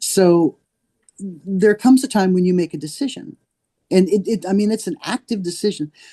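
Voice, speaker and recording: A woman with a dark, mellow tone and a somewhat breathy voice talks at a moderate pace, the sound dry and close with no echo. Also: medium pitch for a woman, ordinary pitch variation. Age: 60s. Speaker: horse industry advocate. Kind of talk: interview. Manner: halting.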